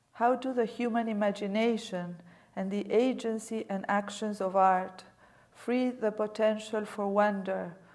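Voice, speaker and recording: Audible room echo surrounds a woman with a non-native accent. Her intonation is fairly even and her pace fairly slow. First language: not English. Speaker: museum director, guest lecturer. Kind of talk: lecture. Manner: reading aloud from prepared text.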